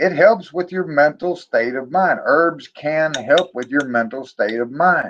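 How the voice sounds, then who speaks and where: The speech moves at a fairly slow pace with hardly any pauses. Its pitch variation is ordinary. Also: man, fairly high pitch for a man. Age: 50s. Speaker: herbal medicine vlogger. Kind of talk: live stream casual talk. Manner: animated.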